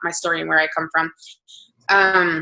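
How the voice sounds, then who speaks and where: A woman with an American accent, a bright, sharp tone and a fairly quick pace. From New Jersey, Hamilton. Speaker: fitness coach. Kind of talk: motivational talk.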